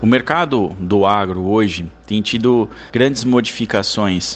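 The voice is an unremarkable speaking voice. Its pitch varies in an ordinary way. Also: man. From São Paulo state, Brazil. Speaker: animal scientist. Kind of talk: radio interview.

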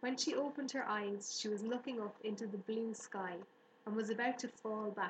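The delivery is plain reading aloud. Its intonation is fairly even.

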